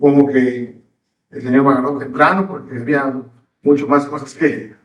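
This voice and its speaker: Audible room echo surrounds a man speaking with a Yucatecan accent at a fairly high pitch. His pace is fairly slow and his intonation fairly even. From Mexico, Yucatán (Mérida). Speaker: pastor. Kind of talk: sermon.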